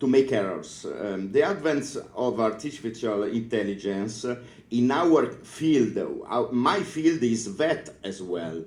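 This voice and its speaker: A man with an Italian accent, medium pitch and a very slow pace, plus audible room echo. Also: lively intonation. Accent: Italian accent, non-native English. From northern Italy (Piedmont). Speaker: librarian, conference speaker. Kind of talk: conference talk. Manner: halting, many fillers.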